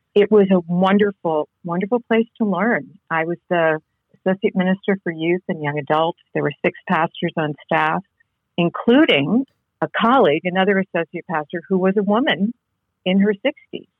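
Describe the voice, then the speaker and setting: An ordinary speaking voice from a woman, medium in pitch, moving at a moderate speed with ordinary pitch variation. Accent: American. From New England (Connecticut). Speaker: seminary professor and author. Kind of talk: interview.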